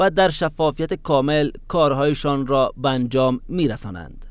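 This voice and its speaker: A man at a fairly quick pace, with ordinary pitch variation and a dry sound with no echo. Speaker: news anchor. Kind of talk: news reading. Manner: formal, steady, measured newsreader delivery. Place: hall. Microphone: lapel.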